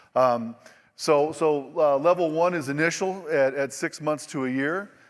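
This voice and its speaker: A man with a fairly high pitch talks at a fairly slow pace with fairly even intonation, in a very clean recording with a silent background. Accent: American. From Oklahoma. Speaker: industry presenter. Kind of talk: conference presentation. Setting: stage with audience. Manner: casual, repetitive with false starts.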